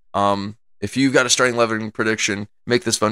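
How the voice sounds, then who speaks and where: A man with an American accent, fairly low in pitch, with a bright, sharp tone, a very fast pace and fairly even intonation in a very clean recording with a silent background. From US Midwest. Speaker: soccer podcast host. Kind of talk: podcast commentary. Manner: filler-heavy, casual.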